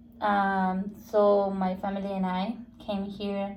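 A somewhat breathy, dark, mellow voice with a Spanish accent and audible room echo. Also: woman. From Guatemala. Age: 20s. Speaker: Spanish teacher. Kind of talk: casual interview. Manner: halting.

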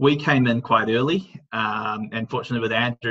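With a plain, everyday voice, a man talks at a middle pitch. He moves fairly quickly, and his intonation stays fairly even. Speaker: brewery representative. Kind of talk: casual chat. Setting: video call.

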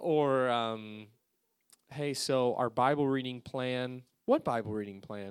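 Over a very clean recording with a silent background, a man speaks at a very slow pace and a medium pitch, with fairly even intonation but big swings in loudness. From Alaska. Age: 20s. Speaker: youth pastor. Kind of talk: sermon. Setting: church.

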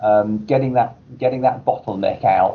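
At a moderate pace, a man speaks with a fairly low pitch and ordinary pitch variation.

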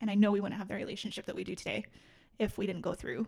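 Speaking very fast with an American accent, a woman uses a fairly high, somewhat breathy voice and a monotone, flat intonation. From Utah, Salt Lake City. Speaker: podcast guest sharing life story. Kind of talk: personal testimony interview. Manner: hesitant, many fillers.

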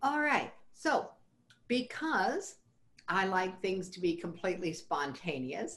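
A woman at a medium pitch lets her voice swing very widely in pitch. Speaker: podcast host. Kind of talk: casual interview chat.

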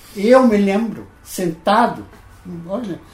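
A man talks in a high pitch that varies in an ordinary way. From Netherlands. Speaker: financial planning pioneer. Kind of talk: interview storytelling. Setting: at his home.

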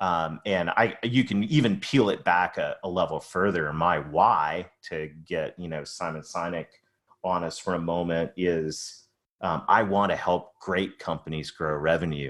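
Speaking at a fairly slow pace, a man with a very deep, low pitch uses ordinary pitch variation. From Canada, Ontario. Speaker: sales and marketing consultant. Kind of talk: podcast interview.

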